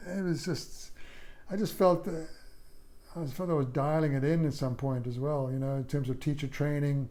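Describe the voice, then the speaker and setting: The tone is dark and mellow, with ordinary pitch variation. Long, frequent pauses break it up, and room echo is audible. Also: man, fairly high pitch for a man, moderate pace. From South Africa. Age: 60s. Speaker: former yoga studio owner and drummer. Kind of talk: casual interview. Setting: at his home. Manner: halting, with many repetitions.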